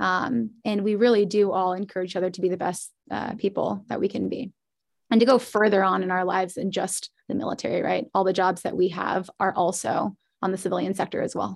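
Against a quiet background, a woman with a medium pitch and vocal fry speaks at a fairly quick pace with ordinary pitch variation. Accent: American. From US Midwest, Indianapolis, Indiana. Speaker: Air Force instructor pilot. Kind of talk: interview. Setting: video call.

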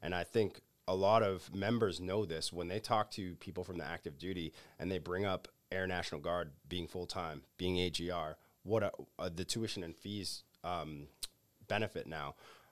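A man with a southeastern Massachusetts accent and a very deep, low pitch, moderate pace and fairly even intonation, on a very clean recording with a silent background. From Massachusetts South Coast, New Bedford area. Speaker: military recruiter. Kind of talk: roundtable discussion.

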